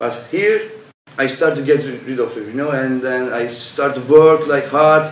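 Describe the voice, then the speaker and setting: A man speaks with a Turkish accent at a moderate pace. His pitch is fairly high, and there is audible room echo. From Turkey. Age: 20s. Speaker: volunteer. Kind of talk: interview. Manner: halting.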